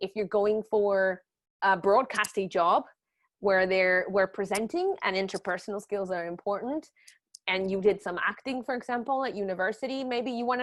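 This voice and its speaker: A woman with a non-native accent speaks at a moderate pace and medium pitch, with ordinary pitch variation. The sound is dry and close with no echo, and the background is quiet. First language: not English. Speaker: journalism trainer. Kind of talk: webinar lecture. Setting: online webinar. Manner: casual, lively.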